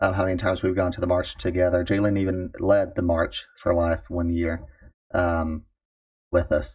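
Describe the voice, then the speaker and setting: A man with a very deep, low pitch and a somewhat breathy voice speaks at a moderate pace with fairly even intonation, the background quiet. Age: 30s. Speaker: youth and young adult minister. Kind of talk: casual chat.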